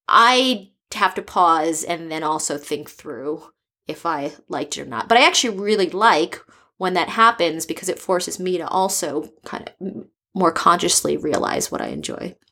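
A woman's fairly low voice with vocal fry, a bright, sharp tone, lively intonation and a moderate pace, on a very clean recording with a silent background. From US East Coast. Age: 30s. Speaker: startup founder. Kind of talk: casual interview.

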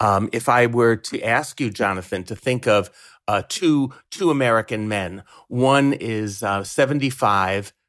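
On a very clean recording with a silent background, a man with an unremarkable speaking voice talks at a fairly slow pace, medium in pitch with ordinary pitch variation. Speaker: sociology professor. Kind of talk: interview.

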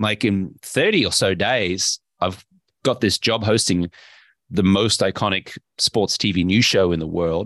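A man with an Australian accent, fairly low in pitch with ordinary pitch variation, in a dry, close sound with no echo and a quiet background. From Brisbane, Australia. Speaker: investor and health coach, former sports anchor. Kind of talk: casual interview chat.

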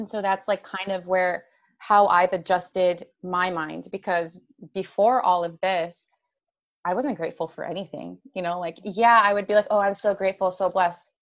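A woman with an unremarkable speaking voice talks at a medium pitch. Her intonation is fairly even and her pace moderate. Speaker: life coach for women with chronic illness. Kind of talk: casual interview chat.

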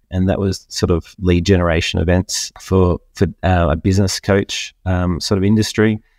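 Very deep and low, a man's voice with an Australian accent moves at a moderate pace in a flat monotone with very even loudness and hardly any pauses, dry and close with no echo in a very clean recording with a silent background. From Australia, Queensland. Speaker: business networking event organizer. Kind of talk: interview. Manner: halting, many fillers and repeats.

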